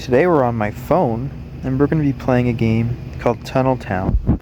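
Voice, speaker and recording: A man speaks at a moderate speed while noticeable noise sits behind him. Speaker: gaming youtuber. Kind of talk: gameplay tutorial. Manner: raised volume to be picked up; hesitant with many ums. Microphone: phone mic struggles to pick up voice.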